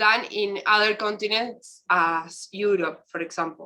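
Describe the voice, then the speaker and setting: In an Argentine accent, a bright, sharp tone moves at a very slow pace with ordinary pitch variation. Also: woman. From Argentina. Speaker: university researcher. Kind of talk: round table discussion. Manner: halting.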